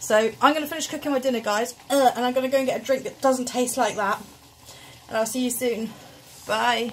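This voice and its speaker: Over light background noise, the speech moves at a fairly quick pace with fairly even intonation. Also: woman, high pitch for a woman. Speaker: vlogger. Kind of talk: casual vlog chat. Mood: disgusted, laughing reaction. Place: kitchen. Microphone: phone near.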